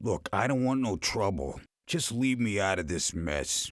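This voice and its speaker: A man uses a raspy, put-on character voice at a moderate pace, with very wide pitch swings and very even loudness. The recording is very clean, with a silent background. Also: fairly low pitch for a man. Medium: video game. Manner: sarcastic, gruff.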